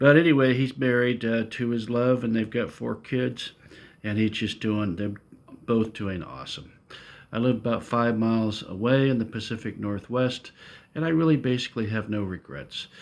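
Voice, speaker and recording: In an unremarkable speaking voice, a man talks at a mid-range pitch with typical rises and falls. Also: moderate pace. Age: 60s. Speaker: retiree vlogger. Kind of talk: casual monologue vlog. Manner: relaxed, frequent filler uh.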